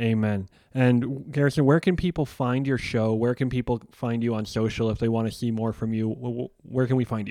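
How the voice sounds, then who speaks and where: Speaking with an American accent, a man has a dark, mellow tone at medium pitch and fairly even intonation. He keeps a moderate pace with hardly any pauses in a very clean recording with a silent background. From Chicago, US Midwest. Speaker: podcast host. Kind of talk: interview.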